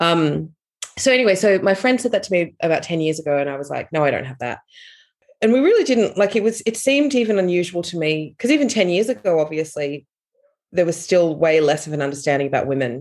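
Speaking very fast, a woman uses a fairly low pitch with very wide pitch swings. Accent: Australian. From Australia. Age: 40s. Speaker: author. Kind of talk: interview.

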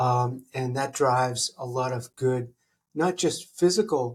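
With a somewhat breathy, medium-pitched voice, a man talks with ordinary pitch variation. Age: 50s. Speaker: laser engineer and company founder. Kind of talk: casual interview.

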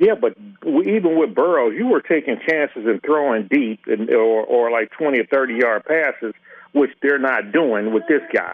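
Speaking at a moderate pace, a man with an unremarkable speaking voice keeps a very even loudness, his pitch fairly high and his intonation lively. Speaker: caller. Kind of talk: casual chat. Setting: phone call.

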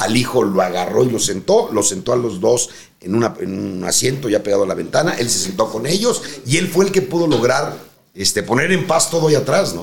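A man speaks at a fairly quick pace with a Mexican accent. His medium-pitched voice swings very widely. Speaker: retired airline pilot. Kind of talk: anecdotal storytelling.

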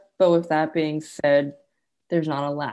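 A woman's very deep, low voice with an American accent, a dark, mellow tone and flat, monotone intonation at a moderate pace, over a quiet background. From California. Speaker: woodworker. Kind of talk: interview.

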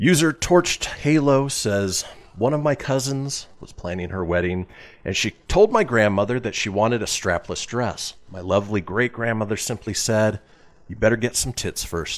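Using an ordinary speaking voice, a man talks at a moderate pace and medium pitch, with lively intonation and big swings in loudness. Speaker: radio show host. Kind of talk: casual comedic radio show banter.

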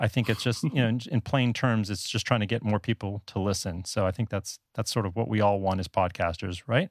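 A man speaks at a fairly quick pace with hardly any pauses, in an American accent, with ordinary pitch variation and fairly low pitch, in an unremarkable speaking voice. The sound is dry and close with no echo, on a very clean recording with a silent background. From US South Florida. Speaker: blogger and podcaster. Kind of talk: podcast interview.

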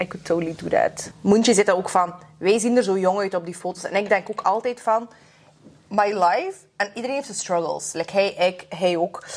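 The speaker moves at a fairly quick pace with ordinary pitch variation. It is a plain, everyday voice. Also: woman, medium pitch for a woman. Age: 20s. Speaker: podcast host. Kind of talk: casual chat.

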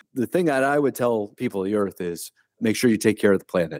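At a very fast pace, a man talks with fairly low pitch. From Ohio, US Midwest. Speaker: retired army colonel and author. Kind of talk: interview. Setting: remote call. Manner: halting, frequent repeats.

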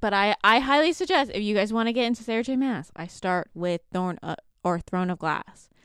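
A woman with a plain, everyday voice and a Canadian accent speaks at a fairly quick pace and a fairly high pitch, in a very clean recording with a silent background and a dry, close sound with no echo. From Canada. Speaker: book podcast co-host. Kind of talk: casual chat.

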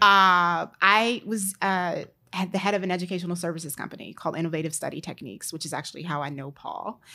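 Speaking very fast with an American accent, a woman has a fairly low pitch, a bright, sharp tone, and ordinary pitch variation on a very clean recording with a silent background. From Maryland, DC area. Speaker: entrepreneur, content creator. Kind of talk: casual chat.

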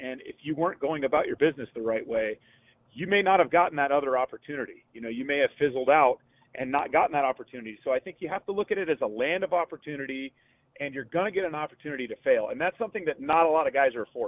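The speaker has an American accent and talks at a very fast pace. The pitch varies in an ordinary way. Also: man, fairly high pitch for a man. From Northern California (Gilroy). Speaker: baseball radio analyst, former player. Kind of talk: radio interview.

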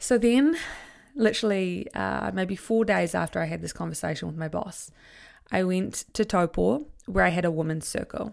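A woman with a New Zealand accent, animated in tone, at a moderate pace, in a very clean recording with a silent background. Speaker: podcast host, confidence coach. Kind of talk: solo podcast monologue.

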